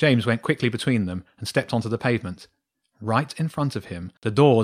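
Reading aloud in a natural voice, with lively intonation against a quiet background.

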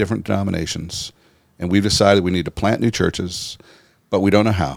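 With an American accent, a man talks at a fairly quick pace in a very deep, low pitch and fairly even intonation, on a very clean recording with a silent background. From United States. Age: 60s. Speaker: pastor and church-planting leader. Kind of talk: interview. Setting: studio. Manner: halting.

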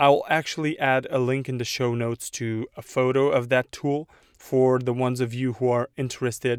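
A man speaks at medium pitch and a moderate pace in a monotone, flat way. The sound is dry and close with no echo, and the recording is very clean with a silent background. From Romania. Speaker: podcast host, web developer. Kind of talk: solo podcast monologue. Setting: in a car in a mall parking lot. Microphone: new USB condenser mic.

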